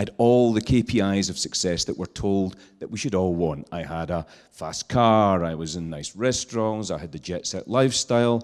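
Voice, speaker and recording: A man with a Scottish accent speaks with a fairly low pitch. The recording is very clean, with a silent background. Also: ordinary pitch variation, moderate pace. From Scotland, island. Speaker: social entrepreneur. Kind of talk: talk to an audience. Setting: stage with audience, handheld mic.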